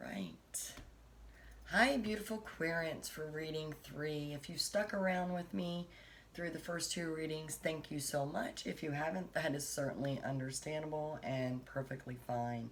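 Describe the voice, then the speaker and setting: A woman's very deep, low voice with ordinary pitch variation, plus noticeable background noise and audible room echo. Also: fairly slow pace. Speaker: tarot reader. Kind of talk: tarot reading. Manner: soft-spoken.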